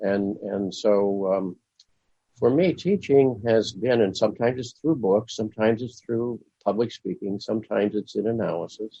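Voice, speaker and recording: In a Midwestern accent, a man talks at a fairly low pitch. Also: ordinary pitch variation, moderate pace. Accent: American Midwestern. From US Midwest, Springfield, Illinois. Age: 80s+. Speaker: Jungian analyst and author. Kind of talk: interview.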